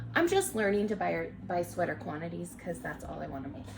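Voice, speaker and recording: With audible room echo and noticeable background noise, a woman speaks at a moderate pace. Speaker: knitting podcaster. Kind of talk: casual chat.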